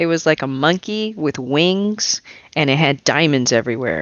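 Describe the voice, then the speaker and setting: A woman's very deep, low voice with lively intonation, a moderate pace and very even loudness. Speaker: gaming podcast co-host. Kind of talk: casual chat.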